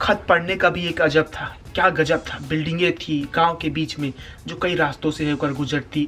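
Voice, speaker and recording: Music sits in the background behind a man with a fairly high pitch. He keeps a moderate pace and fairly even intonation. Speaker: spoken word poet. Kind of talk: spoken word poetry performance.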